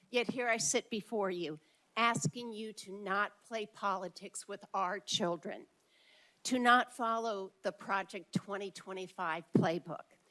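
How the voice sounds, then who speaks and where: Her tone is bright and sharp, with ordinary pitch variation at a fairly slow pace. The woman is heard on a very clean recording with a silent background. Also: medium pitch for a woman. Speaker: public commenter at school board meeting. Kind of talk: public comment speech. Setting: board meeting with large crowd, microphone. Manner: loud.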